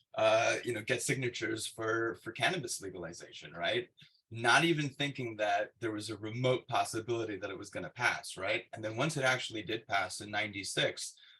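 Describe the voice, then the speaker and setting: A man with a medium pitch and a bright, sharp tone talks fairly quickly with hardly any pauses, ordinary pitch variation, and big swings in loudness. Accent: LA. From Los Angeles, California. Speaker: cannabis investor. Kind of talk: webinar interview. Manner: halting, many fillers.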